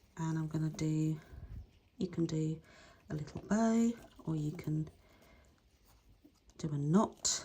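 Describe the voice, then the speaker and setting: A woman speaks at a fairly slow pace in a very deep, low, somewhat breathy voice, with ordinary pitch variation and long, frequent pauses. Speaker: craft instructor. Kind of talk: tutorial. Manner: voice drops when concentrating; casual, hesitant. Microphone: no mic plugged in, may be quiet.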